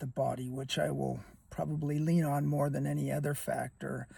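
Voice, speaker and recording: A man speaks at a fairly high pitch and a moderate pace. His tone is dark and mellow, and somewhat breathy. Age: 70s. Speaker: YouTuber, former athletic trainer. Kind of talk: casual vlog monologue. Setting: outdoors on a windy day. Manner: halting, with fillers.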